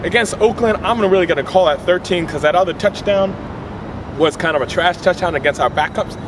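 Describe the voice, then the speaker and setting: Talking at a fairly quick pace with an American accent, a man uses a high pitch with ordinary pitch variation over noticeable background noise. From Philadelphia. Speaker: sports fan vlogger. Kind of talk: sports commentary monologue. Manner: animated. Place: street. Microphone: camera far.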